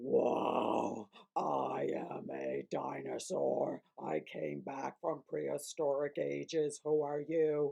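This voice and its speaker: In a raspy, put-on character voice, the words come at a very slow pace with hardly any pauses. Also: man. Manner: silly, playful, puppet show voice.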